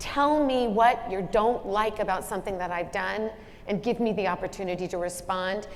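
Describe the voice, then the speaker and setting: There is audible room echo as a woman speaks at a medium pitch. Her pace is moderate, and her pitch variation is ordinary. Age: 60s. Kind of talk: onstage leadership conversation.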